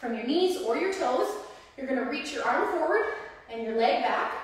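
A woman's voice moves through very wide pitch swings. Strong room echo surrounds it. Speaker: personal trainer. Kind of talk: live-streamed workout instruction, counting reps and cueing form in real time. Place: gym. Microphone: camera far.

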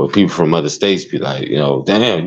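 A man's very deep, low voice with vocal fry. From Chicago. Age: 40s. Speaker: streamer. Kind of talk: casual chat.

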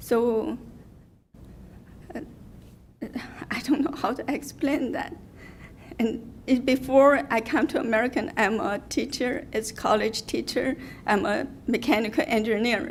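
Through noticeable background noise, a woman with a high pitch speaks at a fairly slow pace with ordinary pitch variation and long, frequent pauses. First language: not English. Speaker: public commenter, salon owner. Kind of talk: public comment at hearing. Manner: halting.

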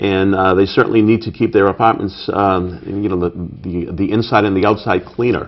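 Speaking with a Boston accent at a moderate pace, a man's very deep, low voice keeps a fairly even intonation. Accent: Boston-area Massachusetts. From Brockton, Massachusetts. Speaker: city council candidate. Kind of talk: interview. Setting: studio.

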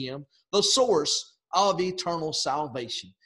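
A man's voice swings very widely in pitch. The background is quiet. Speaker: preacher. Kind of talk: sermon. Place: home room. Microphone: webcam.

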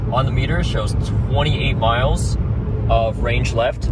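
Loud background noise behind a man's dry voice with no echo. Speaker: vlogger. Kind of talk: casual vlog chat. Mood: mild range anxiety, calm. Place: car. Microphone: phone near.

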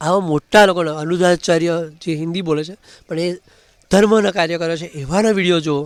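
The man's pitch is high, and his intonation stays fairly even. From Gujarat, Kheda district (Nadiad). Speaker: vlogger. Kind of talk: casual vlog monologue.

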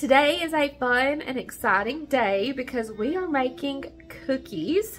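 Light background noise sits behind a woman's high-pitched voice. Her tone is warm and her intonation lively. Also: fairly slow pace. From southern Appalachia. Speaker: home cook. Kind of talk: cooking tutorial talk to camera. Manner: warm, friendly. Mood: warm, nostalgic. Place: kitchen. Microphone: phone near.

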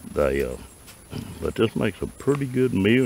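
A man talks at a moderate pace, the sound dry with no echo and noticeable noise in the background. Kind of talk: casual tutorial. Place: open country. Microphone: phone near.

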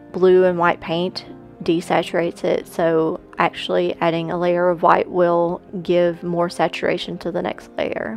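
Music plays behind a woman speaking at a fairly slow pace. Her pitch is fairly low, and the sound is dry with no echo. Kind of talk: casual voice-over narration about painting process.

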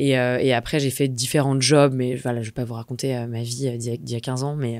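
A woman talks at a moderate pace. The sound is dry with no echo, over a quiet background. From Normandy, France (Rouen); Normandy, France. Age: 30s. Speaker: entrepreneur, community founder; podcast guest. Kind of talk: interview. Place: studio. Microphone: studio mic.

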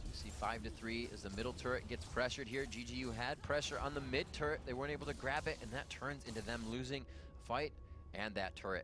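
Over background music, a man speaks very fast in an excited, animated tone. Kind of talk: esports play-by-play commentary. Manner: animated, fast play-by-play; excited, rapid-fire calls of fights.

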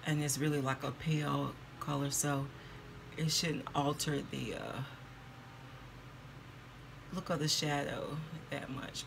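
Very deep, low woman's voice, fairly slow and monotone with flat intonation, over noticeable background noise. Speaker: beauty vlogger. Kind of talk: casual vlog chat. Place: home room. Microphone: phone near.

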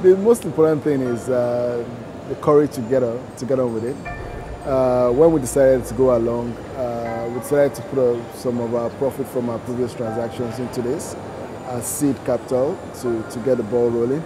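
With music behind him, a man talks fairly quickly and keeps his intonation fairly even. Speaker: interviewee. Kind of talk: interview answer. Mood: relaxed, occasional laughs. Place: shop. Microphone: lapel.

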